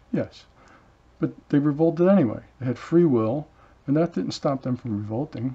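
A man with a fairly high pitch and a dark, mellow tone talks at a moderate pace with ordinary pitch variation. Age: 70s. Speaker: channel host, solo talker. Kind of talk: monologue, stream-of-consciousness talk. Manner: reflective, halting. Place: home room. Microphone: webcam.

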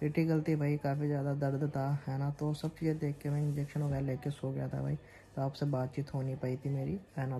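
At a moderate pace, a man speaks in a somewhat breathy voice with a dark, mellow tone and monotone, flat intonation, over light background noise. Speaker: vlogger. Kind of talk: casual vlog chat. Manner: weak, drowsy voice of a sick man. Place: home room. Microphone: phone near.

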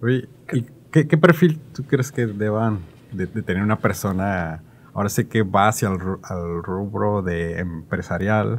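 This man talks at a fairly slow pace. His pitch is fairly low. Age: 30s. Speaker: podcast host. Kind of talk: casual interview chat. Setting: studio. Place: studio. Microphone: studio mic.

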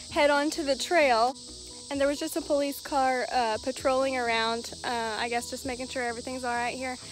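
Recorded with a dry sound with no echo and light background noise, a woman talks in a high pitch. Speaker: pet vlogger. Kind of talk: casual vlog chat. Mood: amused, cheerful. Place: open country. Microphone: phone near.

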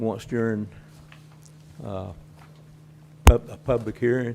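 Ordinary pitch variation carries a dark, mellow tone throughout. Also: man. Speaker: citizen speaker. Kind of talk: public comment. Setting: public meeting. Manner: slow.

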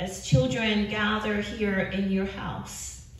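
A woman at a very slow pace, audible room echo around her voice. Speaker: pastor leading prayer. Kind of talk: spoken prayer. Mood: calm, reverent. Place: church.

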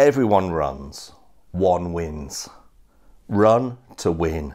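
Here a man speaks with a very deep, low pitch. His background is quiet. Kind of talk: sermon. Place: home room. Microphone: lapel.

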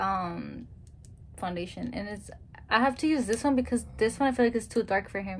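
A woman speaks at a fairly high pitch. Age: 20s. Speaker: YouTuber's girlfriend. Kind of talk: casual chat. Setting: home video recording. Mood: relaxed storytelling. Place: home room. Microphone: phone near.

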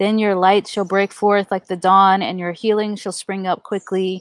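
The background is quiet and the sound is dry, with no echo. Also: woman. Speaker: pastor leading prayer. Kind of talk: scripture reading. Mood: calm, reverent. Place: garden. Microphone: headset.

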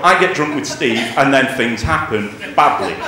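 A man's voice at a moderate pace with very wide pitch swings, audible room echo and light background noise. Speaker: stand-up comedian. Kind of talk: stand-up comedy routine. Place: stage.

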